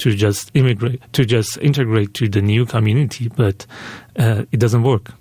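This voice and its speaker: A man speaks with a Persian accent. His intonation stays fairly even. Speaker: filmmaker. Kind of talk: radio interview. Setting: radio interview. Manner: halting, many fillers and restarts.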